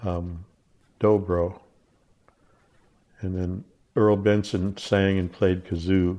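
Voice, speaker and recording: With an American accent, a man talks in a very deep, low pitch, his tone dark and mellow and his intonation fairly even. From Portland, Oregon. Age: 70s. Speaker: jug band musician. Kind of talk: interview reminiscence. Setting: interviewer's home.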